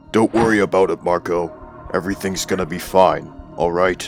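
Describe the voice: A man does a cartoonish character voice with a very deep, low pitch. He speaks at a moderate pace over clear background music.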